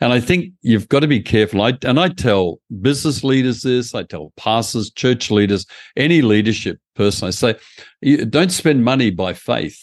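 Lively intonation comes at a moderate pace in a dry, close sound with no echo over a quiet background. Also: man, medium pitch for a man. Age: 70s. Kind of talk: interview.

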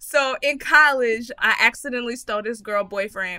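In a raised, projected voice, a woman with an American accent speaks at a high pitch and a fairly quick pace with lively intonation. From Texas. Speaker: comedian and podcast host. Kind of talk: casual chat.

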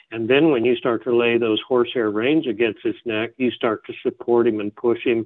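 A man with a normal speaking voice and an American accent talks at a medium pitch and a moderate pace. His intonation is fairly even, with hardly any pauses. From Northern California (Eureka). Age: 50s. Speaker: horse trainer and clinician. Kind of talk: interview. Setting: remote interview, on the line.

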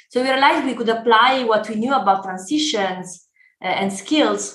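A woman's fairly high voice in an Italian accent, moderately paced, with ordinary pitch variation and audible room echo. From Italy. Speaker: startup founder and CEO. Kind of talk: podcast interview.

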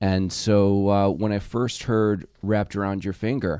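In a dry, close recording with no echo, a man with a fairly low pitch talks at a moderate pace in an unremarkable speaking voice. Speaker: journalism professor and author. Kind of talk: casual chat.

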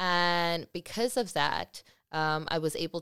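A woman's voice, recorded dry and close with no echo, against a perfectly silent background on a very clean recording. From South Africa, Eastern Cape and Cape Town. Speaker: curator and artist. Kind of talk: interview conversation. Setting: studio.

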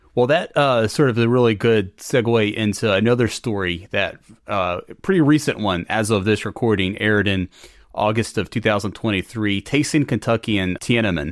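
With an American accent, a man talks at a moderate pace in a normal speaking voice, his fairly low pitch showing ordinary variation over a very clean recording with a silent background. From North Carolina. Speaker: podcast host. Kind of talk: interview conversation; scripted narration.

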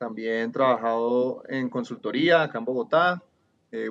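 A man with a Cali Colombian accent, medium pitch and ordinary pitch variation. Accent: Cali (valluno) Colombian. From Colombia, Cali. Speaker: urban transport planner. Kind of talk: casual interview.

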